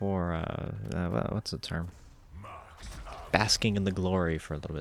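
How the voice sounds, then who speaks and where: This man's voice is very deep and low, moving at a moderate pace with ordinary pitch variation. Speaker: gaming YouTuber. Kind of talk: casual gameplay commentary. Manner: rambling, hesitant with fillers.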